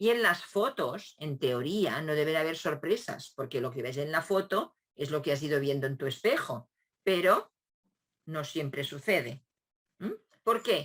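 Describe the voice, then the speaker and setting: With a very deep, low pitch, a woman speaks fairly slowly using lively intonation. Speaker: education professor. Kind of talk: lecture. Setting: video call. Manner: hesitant, with filler sounds.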